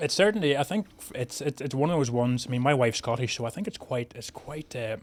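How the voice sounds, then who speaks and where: A man with a strong Northern Irish accent speaks at a very fast pace and medium pitch, with lively intonation. His loudness swings widely, and there is noticeable background noise. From Northern Ireland, County Tyrone. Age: 40s. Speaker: chef. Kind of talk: casual chat. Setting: studio.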